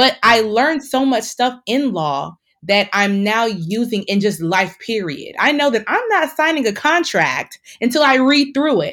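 A woman with a fairly high pitch talks fairly slowly in an animated tone with very wide pitch swings, on a very clean recording with a silent background. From Nigerian-American, family from Delta State, Nigeria. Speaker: engineer and doctoral student. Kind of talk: casual interview chat. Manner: animated, laughs often.

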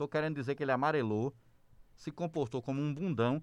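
Over a quiet background, a man delivers his words fairly quickly. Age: 40s. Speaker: podcast co-host. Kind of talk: political debate chat.

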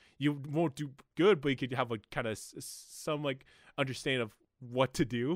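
A man with an unremarkable speaking voice, medium pitch and ordinary pitch variation at a moderate pace, on a very clean recording with a silent background. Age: 20s. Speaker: podcast host. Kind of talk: casual chat.

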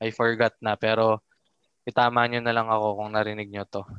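A man talks in a monotone with flat intonation, the sound dry and close with no echo. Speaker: podcast host. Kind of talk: casual chat.

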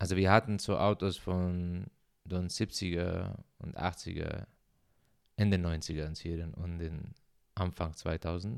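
Very deep and low in pitch, a man speaks at a very slow pace with fairly even intonation and long, frequent pauses on a very clean recording with a silent background. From Syria. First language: Arabic (speaking German). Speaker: podcaster. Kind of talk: personal monologue. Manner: halting.

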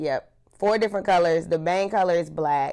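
A woman's fairly low voice at a fairly slow pace, on a very clean recording with a silent background. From US South, Charlotte, North Carolina. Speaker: social media content creator. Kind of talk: casual chat.

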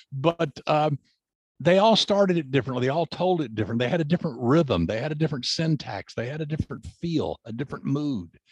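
In a dry, close recording with no echo, a man with an American accent talks very fast in a fairly high, somewhat breathy voice with lively intonation. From US South. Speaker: crime novelist and forensics consultant. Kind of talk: interview.

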